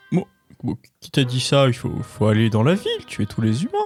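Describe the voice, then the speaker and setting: Someone performs a put-on character voice at a fairly quick pace. Faint music plays in the background. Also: man, medium pitch for a man. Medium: actual play.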